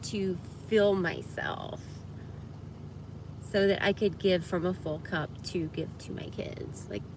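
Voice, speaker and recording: In an American accent, a woman talks at a fairly slow pace with audible room echo around her. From US South, Georgia (Atlanta area). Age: 50s. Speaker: livestreamer. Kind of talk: casual livestream chat.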